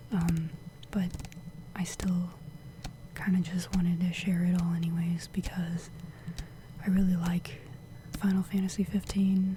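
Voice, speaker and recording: Whispering and soft-spoken, the speaker moves at a fairly slow pace with long, frequent pauses. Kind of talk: ASMR show and tell, soft spoken. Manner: soft-spoken, whispering.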